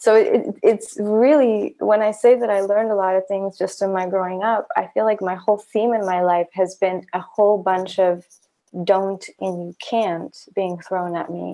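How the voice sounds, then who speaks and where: A woman with a dark, mellow tone speaks at a fairly slow pace, her medium-pitched voice showing ordinary pitch variation. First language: not English. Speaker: podcast host. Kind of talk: casual chat.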